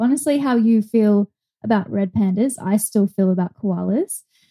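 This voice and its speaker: On a very clean recording with a silent background and a dry, close sound with no echo, a woman with an Australian accent speaks at a fairly slow pace with a fairly high pitch, ordinary pitch variation, a somewhat breathy voice and a dark, mellow tone. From Australia (Brisbane). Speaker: zookeeper and animal trainer. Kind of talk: casual interview chat.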